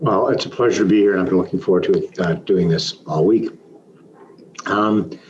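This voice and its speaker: A man with a Canadian accent speaks at a moderate pace and a fairly low pitch, with ordinary pitch variation, very even loudness and long, frequent pauses. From Canada, Toronto. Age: 60s. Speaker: business consultant and mentor. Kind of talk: interview.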